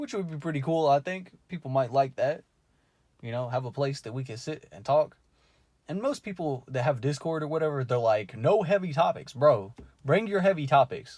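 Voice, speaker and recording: A man with a fairly high pitch speaks at a moderate pace with lively intonation. His voice is somewhat breathy, with big swings in loudness. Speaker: YouTuber, amateur fiction writer. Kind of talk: casual vlog monologue. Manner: stammering, many fillers.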